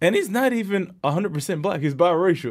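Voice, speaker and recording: A man's fairly quick speech in an American accent, a plain, everyday voice with ordinary pitch variation, on a very clean recording with a silent background. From New York. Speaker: professional football player. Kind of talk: interview.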